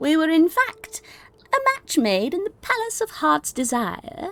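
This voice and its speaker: A put-on character voice at an extremely high pitch with very wide pitch swings, at a moderate pace. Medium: actual play. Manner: florid, grandiose.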